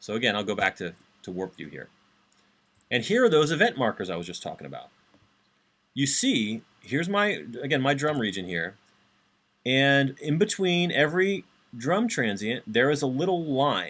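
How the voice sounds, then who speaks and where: A man with a fairly high pitch and vocal fry speaks with very wide pitch swings, big swings in loudness and long, frequent pauses. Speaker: university instructor. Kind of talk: lecture. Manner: fast. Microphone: webcam.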